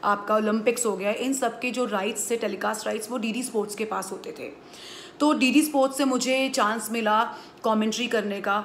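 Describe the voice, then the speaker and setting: A woman's fairly high voice at a moderate pace, intonation fairly even, over light background noise. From India. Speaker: sports commentator; voice-over artist. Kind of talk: interview answer. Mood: calm, reflective. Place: home room. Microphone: phone near.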